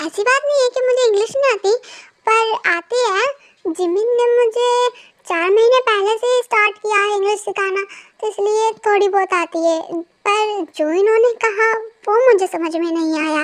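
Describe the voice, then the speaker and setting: A female-sounding voice puts on a character voice at an extremely high pitch. The pace is moderate. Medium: read story. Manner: polite, modest.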